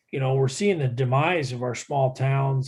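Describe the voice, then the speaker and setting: This man's voice is somewhat breathy. He speaks with an American accent. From Iowa, US Midwest. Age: 60s. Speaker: environmental expert panelist. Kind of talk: webinar panel discussion. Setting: video call webinar.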